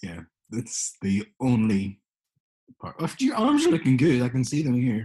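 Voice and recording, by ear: A man's medium-pitched voice, dark and mellow with a slightly husky edge and very wide pitch swings. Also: moderate pace.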